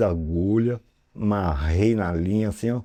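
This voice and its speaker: A man's unremarkable speaking voice, fairly low in pitch, with ordinary pitch variation and a quiet background. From São Paulo, Brazil. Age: 60s. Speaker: tattoo artist. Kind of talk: interview storytelling. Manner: casual, filler-heavy.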